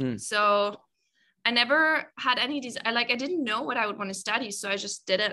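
With a bright, sharp tone and lively intonation, a woman talks at a moderate pace in a fairly high voice on a very clean recording with a silent background. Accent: German. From Germany. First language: German. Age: 20s. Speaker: content creator. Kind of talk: casual interview.

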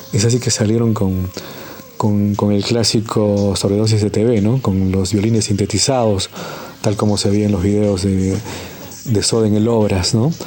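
Speaking at a fairly slow pace with very even loudness, a man keeps a fairly low, monotone, flat delivery against noticeable background noise. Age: 40s. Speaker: musician and communicator. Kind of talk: anecdote telling.

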